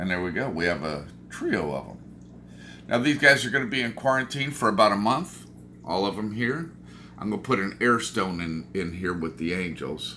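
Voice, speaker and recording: A man with a fairly low, bright, sharp voice speaks at a moderate pace with very wide pitch swings and audible room echo. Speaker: aquarium hobbyist vlogger. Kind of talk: casual vlog. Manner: animated.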